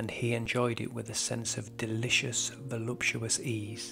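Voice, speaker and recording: A man's medium-paced speech over background music. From Britain. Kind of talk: audiobook horror story narration.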